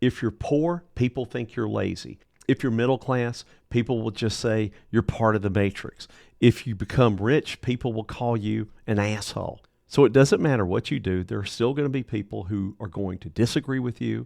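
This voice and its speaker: At a moderate pace, a man with an ordinary speaking voice is heard in a dry, close sound with no echo. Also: medium pitch for a man, ordinary pitch variation, quiet background. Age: 60s. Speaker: motivational speaker. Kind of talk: motivational monologue.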